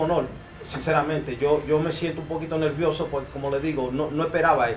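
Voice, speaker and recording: A man speaks with a fairly high pitch. There is light background noise behind him. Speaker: foundation representative; guest. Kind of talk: ceremony speech. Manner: halting. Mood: grateful, slightly nervous. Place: hall. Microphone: handheld.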